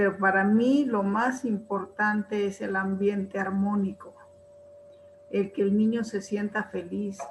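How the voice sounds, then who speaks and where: Noticeable background noise sits behind a woman speaking at a very slow pace. Her medium-pitched voice keeps fairly even intonation. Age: old. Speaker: retired teacher, webinar participant. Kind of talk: spoken comment in webinar Q&A.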